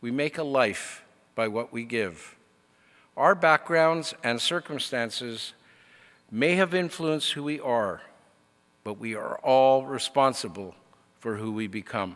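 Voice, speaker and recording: At a fairly slow pace, a man with a medium pitch speaks with lively intonation and long, frequent pauses. The recording is very clean, with a silent background. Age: 60s. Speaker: convocation speaker. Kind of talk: commencement speech. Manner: formal.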